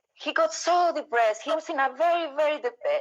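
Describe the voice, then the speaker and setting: This woman speaks with a Spanish accent. Her pace is moderate. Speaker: interview host. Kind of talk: casual interview. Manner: halting.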